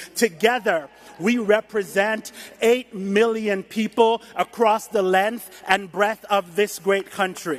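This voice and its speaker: Over noticeable background noise, a man with a high voice talks very slowly, with fairly even intonation and very even loudness. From Jamaica. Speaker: education activist. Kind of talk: speech.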